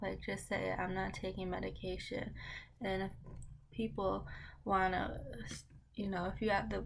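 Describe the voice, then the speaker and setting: Audible room echo fills the space. A woman speaks at a fairly slow pace. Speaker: lifestyle vlogger. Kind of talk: casual get-ready-with-me vlog. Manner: rambling, unhurried.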